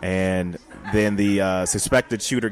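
A man's voice at a moderate pace, with noticeable background noise. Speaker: podcast co-host. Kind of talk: casual live podcast banter, emcee-style crowd hype. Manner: animated, upbeat.

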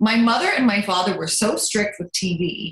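Her intonation rises and falls in a lively way. The woman keeps a moderate pace. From Lancaster, Pennsylvania, US. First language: German. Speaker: soap opera actress. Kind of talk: casual interview.

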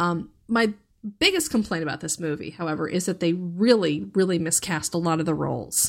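This woman has a fairly low pitch and vocal fry. She talks at a fairly quick pace with ordinary pitch variation. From US, Northern Virginia. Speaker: podcast panelist. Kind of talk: casual chat. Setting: remote podcast recording.

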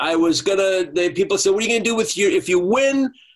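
Amid noticeable background noise, a man with an American accent speaks with very wide pitch swings. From Uruguay-born, raised in the US from age three. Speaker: soap opera actor and voiceover artist. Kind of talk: casual interview. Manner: halting, with many restarts.

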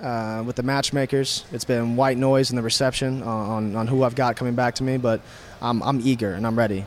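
This man has an ordinary speaking voice at medium pitch, with an American accent and fairly even intonation. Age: 20s. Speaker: MMA fighter. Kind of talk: post-fight media interview. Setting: fight event media area.

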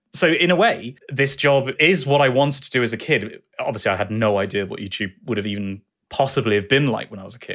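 In a southern English accent, a man talks at a fairly quick pace and medium pitch with lively intonation, recorded very cleanly with a silent background. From southwest England. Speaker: educational YouTuber and streamer. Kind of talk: interview.

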